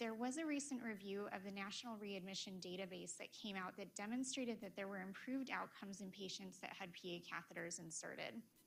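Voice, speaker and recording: A woman talks at a fairly quick pace, and audible room echo surrounds her voice. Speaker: cardiologist. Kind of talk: lecture. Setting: conference room with PA speakers.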